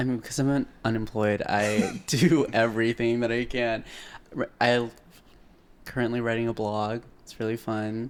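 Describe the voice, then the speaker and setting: An ordinary speaking voice from a man with an American accent, medium pitch, moderate pace and fairly even intonation. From Arizona, Phoenix. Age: 20s. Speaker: aspiring writer, podcast guest. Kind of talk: casual chat.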